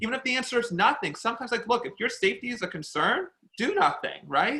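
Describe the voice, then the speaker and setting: Raising and projecting his voice, a man speaks in a bright, sharp tone. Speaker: educator at an anti-hate advocacy group. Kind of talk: panel discussion. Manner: loud, talkative.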